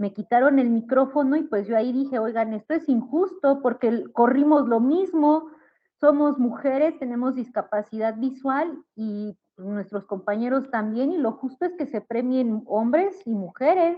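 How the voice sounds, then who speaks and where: A woman speaks at a fairly slow pace with hardly any pauses, her high voice moving in lively intonation. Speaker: visually impaired runner and feminist activist. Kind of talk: panel discussion.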